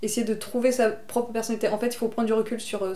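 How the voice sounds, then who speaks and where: Here a woman speaks at a fairly high pitch. Her intonation is monotone and flat. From Bordeaux, southwest France. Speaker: illustrator. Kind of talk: casual interview. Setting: at her home.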